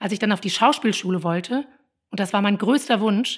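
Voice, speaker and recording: A woman's medium-pitched voice at a fairly quick pace, on a very clean recording with a silent background. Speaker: parenting coach and podcaster. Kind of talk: personal monologue.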